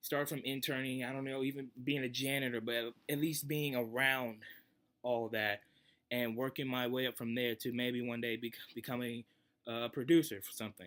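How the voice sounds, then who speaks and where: A man with an American accent, medium pitch, moderate pace, and fairly even intonation. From Mississippi, US. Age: young. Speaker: aspiring music producer; vlogger. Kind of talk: audition talk to camera. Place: home room. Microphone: webcam.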